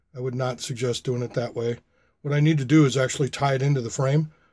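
A man's somewhat breathy voice with a dark, mellow tone and fairly even intonation, over a quiet background. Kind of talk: casual vlog chat. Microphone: phone near.

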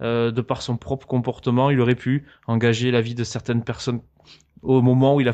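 Against a quiet background, a man talks at a fairly quick pace with monotone, flat intonation. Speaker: gaming youtuber. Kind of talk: interview. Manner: calm.

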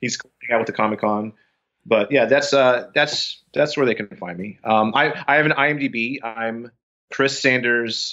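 A man's medium-pitched voice with an American accent, a normal speaking voice, fairly slow in pace and with ordinary pitch variation. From Texas, Austin. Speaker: actor and TV producer. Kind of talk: casual chat.

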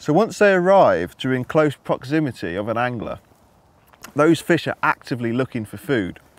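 The speech moves at a moderate pace, and the sound is dry with no echo. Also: man. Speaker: match angler coach. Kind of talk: tutorial. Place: waterside.

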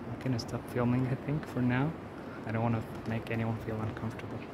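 Against clear background noise, a man talks at a fast pace with little pitch movement. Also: medium pitch for a man.

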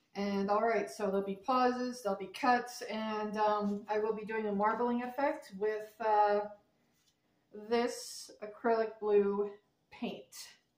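A woman's fairly high-pitched voice, very slow in pace, with fairly even intonation and audible room echo. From Canada. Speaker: crafter, video creator; video creator. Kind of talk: tutorial. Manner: halting, many fillers. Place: home room. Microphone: camera far.

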